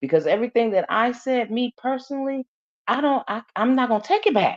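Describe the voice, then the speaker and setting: Loud and high-pitched, a woman talks at a moderate pace with lively intonation in a dry, close sound with no echo. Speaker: YouTube live host. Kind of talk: casual chat.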